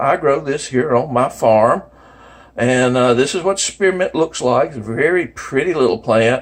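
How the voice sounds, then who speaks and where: With a normal speaking voice, a man talks at a moderate pace in a fairly high pitch, keeping ordinary pitch variation and very even loudness. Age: 60s. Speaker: homesteading video maker. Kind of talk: tutorial.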